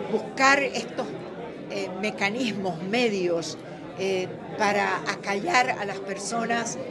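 Over crowd noise in the background, a woman talks at a very slow pace with ordinary pitch variation. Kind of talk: interview answer. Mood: serious, earnest. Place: meeting room. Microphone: handheld.

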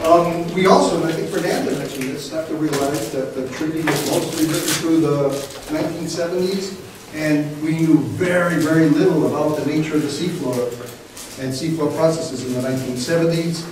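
A man's fairly high voice at a moderate pace, with strong room echo and light background noise. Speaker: professor and marine geophysicist. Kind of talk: lecture. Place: classroom. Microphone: camera far.

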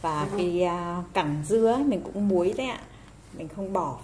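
Against noticeable background noise, a woman with a fairly low pitch speaks at a fairly slow pace. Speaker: home cooking video creator. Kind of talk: cooking tutorial. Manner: friendly, casual, explanatory. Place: kitchen. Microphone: phone near.

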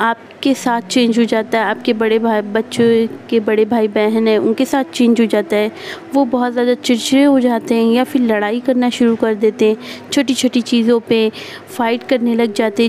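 Speech comes at a fairly slow pace with very even loudness and fairly even intonation. Light background noise sits behind it. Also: woman. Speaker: speaker. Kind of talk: advice talk to viewers. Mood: earnest, warning. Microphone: phone near.

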